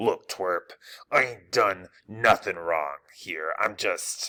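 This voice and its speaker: Doing a put-on character voice, a man growls in a gruff, fairly low pitch at a very slow pace. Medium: read story. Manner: gruff, streetwise.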